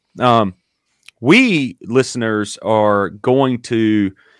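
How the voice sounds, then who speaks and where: In a Southern US accent, a man talks at a fairly low pitch, the sound dry and close with no echo on a very clean recording with a silent background. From US South, Dillon, South Carolina. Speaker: podcast host, sports coach. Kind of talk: theological discussion. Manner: hesitant with many fillers.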